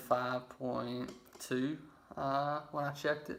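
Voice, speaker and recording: Speaking in a Mississippi accent, a man keeps a medium pitch and a fairly even intonation. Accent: Southern US (Mississippi). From Laurel, Mississippi. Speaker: raw vegan lifestyle vlogger. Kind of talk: casual personal story to camera.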